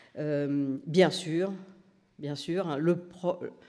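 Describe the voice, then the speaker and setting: Here a man speaks at a fairly high pitch with ordinary pitch variation. His tone is dark and mellow. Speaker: nursing research professor, doctoral supervisor. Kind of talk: conference talk. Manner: hesitant, many fillers.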